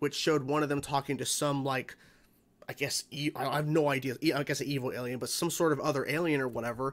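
A man speaks very fast in a monotone, flat intonation. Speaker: reaction channel host. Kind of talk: casual vlog chat. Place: home room.

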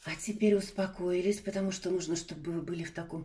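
A woman speaks in a fairly low pitch with a dark, mellow tone and a somewhat breathy quality. Her intonation is monotone and flat, and her pace is moderate. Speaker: tarot reader. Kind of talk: online tarot reading. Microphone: phone near.

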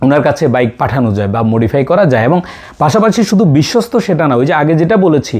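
This man's voice sits fairly high in pitch, with very wide pitch swings. His loudness stays very even throughout. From Mirsharai, Chattogram, Bangladesh. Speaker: customer, bike owner. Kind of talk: testimonial.

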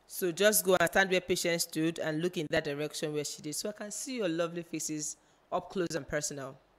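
This woman has a normal speaking voice, fairly low in pitch with ordinary pitch variation, talking at a fairly quick pace in a very clean recording with a silent background. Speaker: pageant show coordinator giving instructions. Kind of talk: instructions to contestants. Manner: formal.

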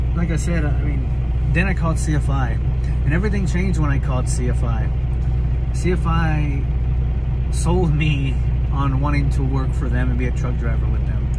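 Against loud background noise, a man talks at a moderate pace with long, frequent pauses. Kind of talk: casual vlog chat. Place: car. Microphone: phone near.

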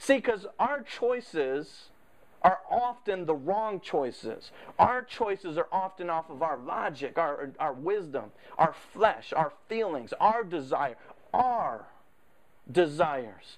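The speech crawls along very slowly, the pitch swinging very widely. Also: man, high pitch for a man. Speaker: preacher. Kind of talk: sermon. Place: church.

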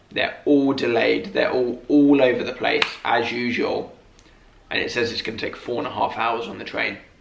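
A man speaks with audible room echo and light background noise behind him. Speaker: vlogger. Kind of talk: casual vlog chat. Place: home room. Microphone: camera far.

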